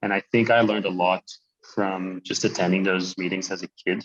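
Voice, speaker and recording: The voice, in a French Canadian accent, has a dry, close sound with no echo. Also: man. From Quebec, Canada. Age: 30s. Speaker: social enterprise co-founder. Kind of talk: interview. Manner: halting.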